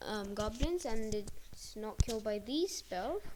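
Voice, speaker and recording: Soft-spoken delivery comes from a woman. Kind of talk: video game card explanation voiceover. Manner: quiet, soft-spoken; hesitant, many filler words.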